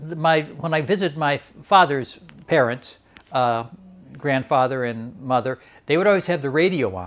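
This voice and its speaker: Speaking with a Detroit accent, a man uses lively intonation and a fairly high pitch at a moderate pace, with big swings in loudness. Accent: Detroit American English. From Detroit, Michigan, Polish-American family. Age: 70s. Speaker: mural painter. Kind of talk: oral history interview.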